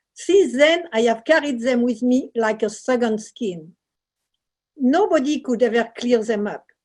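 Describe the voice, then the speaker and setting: With a French accent, a woman talks at a fairly slow pace, her high pitch carried by lively intonation. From southern France, Marseille. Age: 70s. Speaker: painter and author. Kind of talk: book reading. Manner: halting.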